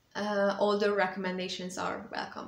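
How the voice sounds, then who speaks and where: A woman speaks in a room. Her voice carries an audible echo. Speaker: vlogger and author. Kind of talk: casual update vlog. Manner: hesitant, many fillers. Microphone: small clip-on mic, voice sometimes too quiet.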